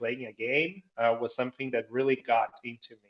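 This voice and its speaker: This man speaks with a Portuguese accent. His pitch is medium. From Brazil. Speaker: entrepreneur and gamification trainer. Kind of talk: interview.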